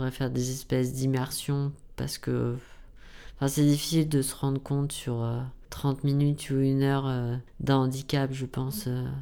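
A man speaks at medium pitch with a dark, mellow tone. His intonation is monotone and flat, at a fairly slow pace. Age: 20s. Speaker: blind university student. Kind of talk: interview.

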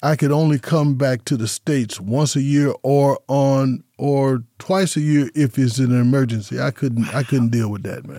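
A man with an American accent talks at a moderate pace and medium pitch, with fairly even intonation, hardly any pauses and a dark, mellow tone. The sound is dry and close with no echo, in a very clean recording with a silent background. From Las Vegas, Nevada. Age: 70s. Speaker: former college hospitality program director, podcaster. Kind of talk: casual radio interview.

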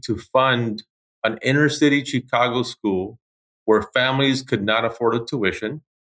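A man with an American accent has a plain, everyday voice at medium pitch, speaking at a moderate pace with fairly even intonation. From Los Angeles, California. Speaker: school president. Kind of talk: interview.

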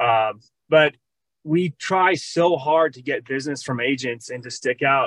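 In a plain, everyday voice, a man with an American accent speaks at a fairly high pitch with fairly even intonation, the sound dry and close with no echo. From Minnesota. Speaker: loan officer. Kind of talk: casual chat.

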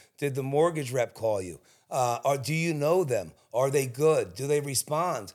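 An American-accented man's fairly high voice at a moderate pace, with ordinary pitch variation, on a very clean recording with a silent background. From South Jersey, Cherry Hill. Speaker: realtor. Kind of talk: casual interview chat. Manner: halting.

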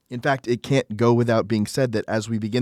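A man speaks in an ordinary speaking voice at a medium pitch and a fairly quick pace, with fairly even intonation. The recording is very clean, with a silent background and dry, close sound with no echo. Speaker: devotional podcast host. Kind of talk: dramatic narration; devotional reading. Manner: solemn, earnest, reverent.

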